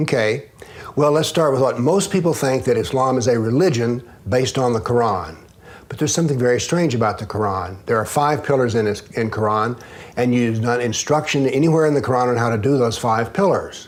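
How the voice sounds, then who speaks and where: Over noticeable background noise and audible room echo, a man with an American accent speaks at a medium pitch and fairly quick pace with ordinary pitch variation. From US South. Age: 70s. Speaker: author and former professor. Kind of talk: interview.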